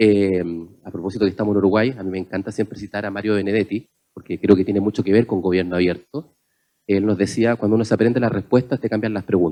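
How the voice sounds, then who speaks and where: A man with a Chilean accent, a dark, mellow tone and fairly low pitch, very fast and fairly even in intonation, in a dry, close sound with no echo. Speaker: panelist on open government. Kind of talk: panel discussion talk.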